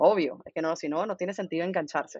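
At a very fast pace, a woman speaks in a fairly low pitch. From Venezuela. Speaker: marketing agency founder. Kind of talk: interview.

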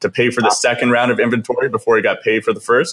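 A man with a western Canadian accent and a medium-pitched voice. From Kelowna, British Columbia, Canada. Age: 20s. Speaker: podcast host. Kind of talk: casual interview chat.

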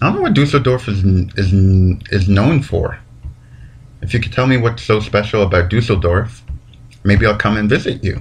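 A man's somewhat breathy, fairly low voice at a moderate pace. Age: 20s. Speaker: podcast host. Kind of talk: casual monologue. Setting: home recording.

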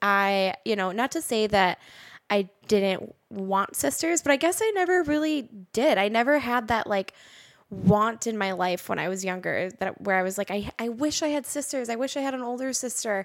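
A woman with an American accent talks at a moderate pace, her pitch fairly high and her intonation lively. The recording is very clean, with a silent background. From Minnesota, US (Roseville, near Minneapolis). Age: 20s. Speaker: podcast host. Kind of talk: solo personal monologue. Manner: casual, with fillers.

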